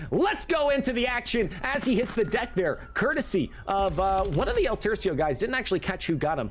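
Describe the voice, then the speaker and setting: With noticeable background noise, a man speaks at a moderate pace in a high pitch. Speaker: esports commentator. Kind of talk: live commentary. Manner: animated.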